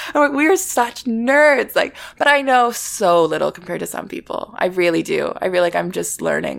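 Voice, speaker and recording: Noticeable background noise sits behind a woman speaking at a moderate pace in a Canadian accent. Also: hardly any pauses. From Vancouver, western Canada. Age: 20s. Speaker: vintage shop owner. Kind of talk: casual interview. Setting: at home.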